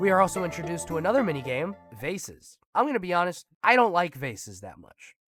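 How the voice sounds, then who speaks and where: The speaker talks fairly quickly with music in the background. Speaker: gaming video narrator. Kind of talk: gameplay commentary voice-over. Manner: fast, casual.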